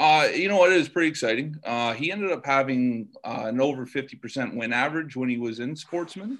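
With a Canadian accent and a plain, everyday voice, a man speaks at a fairly high pitch with ordinary pitch variation and hardly any pauses. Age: 30s. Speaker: race car driver. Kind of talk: interview. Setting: podcast recording.

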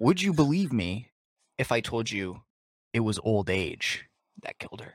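With an American accent and medium pitch, a man speaks at a fairly slow pace, with very wide pitch swings and big swings in loudness, on a very clean recording with a silent background. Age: 20s. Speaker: podcast co-host. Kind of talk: casual chat.

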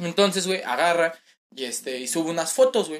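A man's high-pitched, animated voice at a moderate pace. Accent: Mexican. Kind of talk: casual chat.

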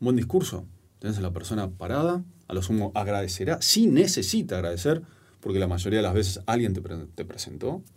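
In a very clean recording with a silent background, a somewhat breathy man talks at a fairly quick pace with lively intonation. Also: fairly low pitch for a man. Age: 40s. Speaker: storytelling and public speaking coach, author. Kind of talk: casual interview conversation. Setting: studio.

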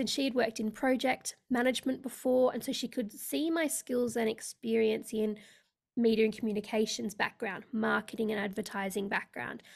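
A woman's fairly high-pitched voice with an Australian accent. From Australia (Sydney), born in India. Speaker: leadership coach. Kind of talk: interview. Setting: remote call.

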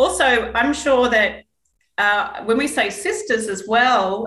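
Very slowly, a woman gets her words out. The tone of her voice is bright and sharp. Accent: New Zealand. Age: 40s. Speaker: Pilates instructor, podcast co-host. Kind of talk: casual chat.

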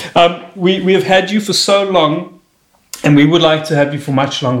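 A man with an unremarkable speaking voice talks in a lively intonation. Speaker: podcast host and comedian. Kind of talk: casual interview chat. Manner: joking, playful.

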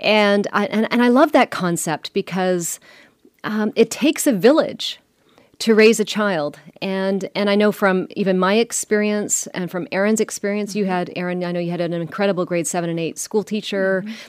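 A woman talks in a normal speaking voice, medium in pitch with ordinary pitch variation. The pace is moderate, and the sound is dry and close with no echo. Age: 50s. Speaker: bakery co-founder and podcast co-host. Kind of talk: casual chat.

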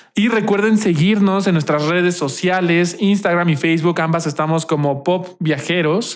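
A man with a high pitch speaks at a moderate pace, with fairly even intonation and hardly any pauses. His loudness stays very even over noticeable background noise. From Mexico. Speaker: podcast co-host. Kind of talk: casual chat.

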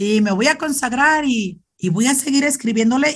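The intonation is lively. A woman speaks against a quiet background. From Mexico, Zacatecas. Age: 40s. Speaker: Franciscan nun. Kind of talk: interview testimony. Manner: halting, repeats words.

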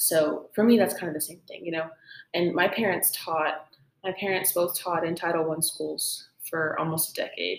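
A woman with an ordinary speaking voice, fairly low in pitch, at a moderate pace, with big swings in loudness. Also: fairly even intonation. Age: young. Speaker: podcast host, music student. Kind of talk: casual chat.

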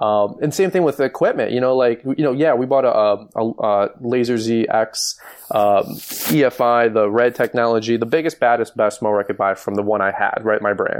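Noticeable background noise behind a man with an American accent, moderate pace and very even loudness. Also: medium pitch for a man, ordinary pitch variation. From Michigan. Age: 30s. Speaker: lawn care business owner and YouTuber. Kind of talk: interview.

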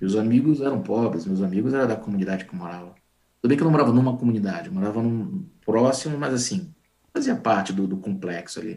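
A man speaks at a very fast pace with lively intonation. His loudness swings widely. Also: medium pitch for a man. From northern Brazil (Manaus, Amazonas; family from Pará). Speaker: IT professional, database administrator. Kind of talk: interview on a live stream.

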